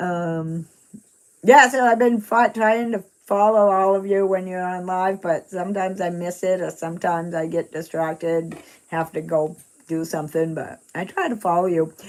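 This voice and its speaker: At a moderate pace, a woman with a Maine accent talks at a medium pitch. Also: ordinary pitch variation. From Maine, US. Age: 60s. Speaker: retired runner and live streamer. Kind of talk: casual live-stream chat. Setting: live stream reading chat. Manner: halting, many fillers.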